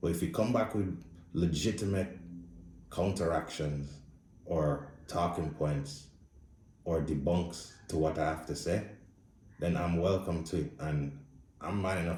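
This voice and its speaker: With audible room echo, a man speaks in a very deep, low pitch, his tone dark and mellow and somewhat breathy. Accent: Jamaican. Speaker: blind movie reviewer. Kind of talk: casual spoken movie review. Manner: casual, blunt.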